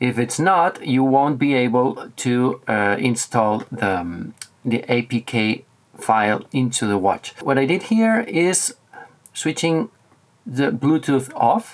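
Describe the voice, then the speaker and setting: A man with a Spanish accent, medium pitch, lively intonation and a very slow pace. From Spain, Barcelona. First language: Catalan or Spanish. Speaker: tech reviewer. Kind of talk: tutorial. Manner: halting.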